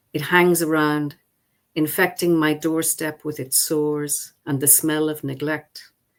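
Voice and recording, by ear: A woman's low pitch with little pitch movement, at a fairly slow pace.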